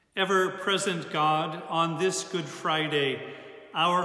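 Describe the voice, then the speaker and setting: A man speaks at a very slow pace in a high-pitched voice, with fairly even intonation. There is audible room echo against a quiet background. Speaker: church service leader. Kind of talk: liturgical prayer, Good Friday worship. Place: church. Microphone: phone near.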